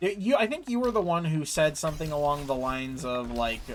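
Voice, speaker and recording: Talking at a moderate pace with an American accent, a man has an unremarkable speaking voice, a fairly high pitch and lively intonation. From United States. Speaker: gaming streamer. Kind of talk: casual chat while gaming, reading chat aloud. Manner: casual, filler-heavy with frequent repeats.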